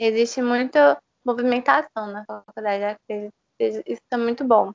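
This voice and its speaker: Pitch varies in an ordinary way for this speaker. She is a woman with a fairly high pitch. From Brazil, Recife (Pernambuco). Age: 20s. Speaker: law student. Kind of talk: interview. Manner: halting, many fillers.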